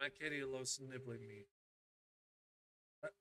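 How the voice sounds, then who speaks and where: At a moderate pace, a man with a bright, sharp tone speaks at medium pitch with ordinary variation, in a dry, close sound with no echo. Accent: Scottish. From Scotland. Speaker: gaming streamer. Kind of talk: live gameplay stream chat. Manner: animated.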